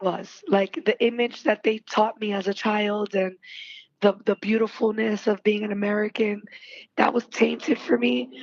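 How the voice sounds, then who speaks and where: Delivered at a moderate pace with a New York accent, the speech has ordinary pitch variation and a dry, close sound with no echo. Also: woman. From Bronx, New York. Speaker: podcast host. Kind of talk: casual podcast conversation.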